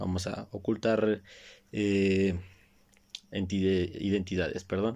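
A man with a Mexico City accent speaks in a very clean recording with a silent background. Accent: Mexican Spanish (Mexico City). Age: 20s. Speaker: podcast host. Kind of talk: solo casual monologue. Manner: halting, many repeated words.

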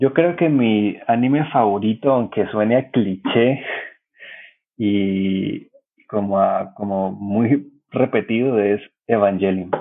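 A man speaks at a very slow pace, with long, frequent pauses. His pitch sits fairly low and varies in an ordinary way. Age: 30s. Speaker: cartoonist and journalist. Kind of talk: casual chat.

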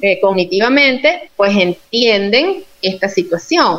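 A woman's medium-pitched voice is heard with noticeable noise in the background. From Venezuela, Yaracuy state. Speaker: clinical and social psychologist, researcher. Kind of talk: interview in an online live talk.

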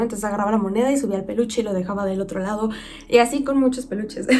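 A woman with a Mexican accent speaks in an animated tone at a fairly high pitch. Audible room echo surrounds her voice. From Mexico. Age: 20s. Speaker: podcast host. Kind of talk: casual monologue. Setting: video recording. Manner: loud.

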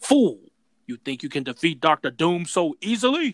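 At a moderate pace, a man puts on a high-pitched character voice with very wide pitch swings. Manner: menacing, haughty, theatrical.

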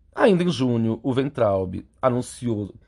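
The voice has a dark, mellow tone, is somewhat breathy and uses lively intonation, captured in a very clean recording with a silent background. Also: man. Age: 30s. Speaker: podcast host and clinical psychologist. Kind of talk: solo commentary monologue.

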